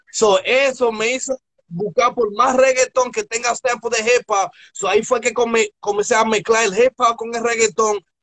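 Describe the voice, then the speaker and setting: An animated male voice of extremely high pitch at a moderate pace, with a dry, close sound and no echo. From Newark, New Jersey. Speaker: DJ and online radio host. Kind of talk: interview. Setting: live stream.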